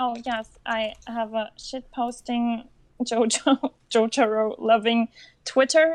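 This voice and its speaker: Very slowly, a woman with a non-native accent and a fairly high pitch talks with fairly even intonation. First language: not English. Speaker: cosplayer and anime fan. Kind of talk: interview. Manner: halting.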